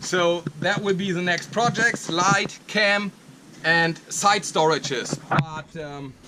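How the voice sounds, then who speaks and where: Against noticeable background noise, a man with a German accent speaks very slowly in a high pitch with ordinary pitch variation. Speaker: arborist and YouTuber. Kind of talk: vlog walkthrough. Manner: halting.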